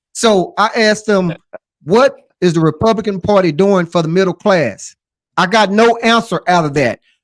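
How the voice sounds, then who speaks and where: Pitched high, a man talks with ordinary pitch variation. His loudness stays very even. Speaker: podcast panel guest. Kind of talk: casual political discussion. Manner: fast.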